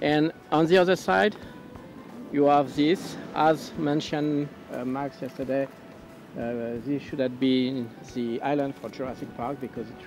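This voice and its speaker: Music plays in the background of a dry recording with no echo. The speech moves at a fairly slow pace. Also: man, ordinary pitch variation. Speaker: travel vlogger. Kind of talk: casual vlog chat. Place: open country. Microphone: phone near.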